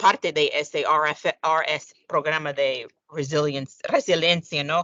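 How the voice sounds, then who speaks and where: A woman with an English accent speaks with lively intonation. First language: English (speaking Spanish). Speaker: sovereign credit rating analyst. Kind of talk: panel discussion. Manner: halting, with many fillers.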